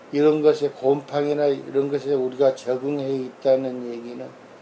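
A man speaks at a fairly slow pace in a fairly high voice, his intonation flat and monotone. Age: old. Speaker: family doctor. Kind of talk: casual medical explainer. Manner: informal, conversational.

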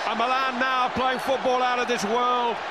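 A man at a moderate pace, dry sound with no echo, over loud background noise. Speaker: football TV commentator. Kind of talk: commentary. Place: stadium.

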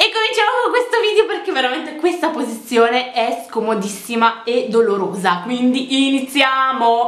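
A woman speaks high in pitch with lively intonation. Room echo is audible. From Romania. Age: young. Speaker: fashion vlogger. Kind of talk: casual talk to camera. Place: home room. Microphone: phone near.

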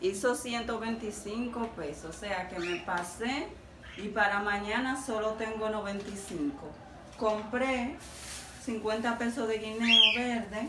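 A woman speaks at a very slow pace with ordinary pitch variation. Noticeable background noise sits behind her. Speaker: home vlogger. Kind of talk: casual vlog chat. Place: kitchen. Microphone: phone near.

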